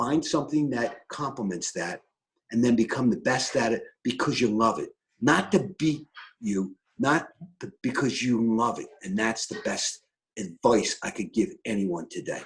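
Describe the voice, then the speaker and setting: A man with a Philadelphia accent speaks at a moderate pace and medium pitch, his somewhat breathy voice carrying lively intonation. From Philadelphia, US. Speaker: real estate broker and team lead. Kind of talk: interview. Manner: animated.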